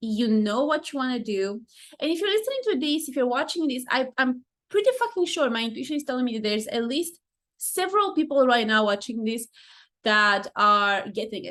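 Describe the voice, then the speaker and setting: Against a quiet background, a speaker with a non-native accent talks at a fairly quick pace with very wide pitch swings. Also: woman, high pitch for a woman. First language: not English. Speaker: life coach, podcast host. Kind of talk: casual podcast monologue. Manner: fast.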